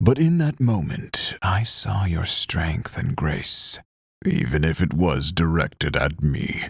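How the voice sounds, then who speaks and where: A man's put-on character voice, very deep and rumbling, at a fairly slow pace. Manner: low, rumbling.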